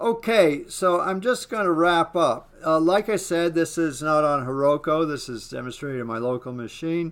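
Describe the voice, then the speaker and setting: A man's fairly high, lively voice with hardly any pauses, in a very clean recording with a silent background. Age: 60s. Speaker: web developer and online course student. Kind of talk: software demo walkthrough. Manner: slow; halting, many fillers.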